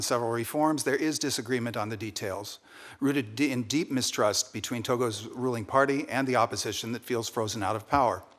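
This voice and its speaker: On a very clean recording with a silent background, a man with an unremarkable speaking voice talks at a fairly quick pace, medium pitch and fairly even intonation. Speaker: ambassador nominee, career diplomat. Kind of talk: formal testimony at hearing. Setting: Senate committee hearing room.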